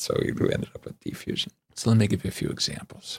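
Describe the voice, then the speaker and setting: With a West Coast American accent, a man talks at a very fast pace. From Southern California. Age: 70s. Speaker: psychologist and author. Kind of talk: interview conversation.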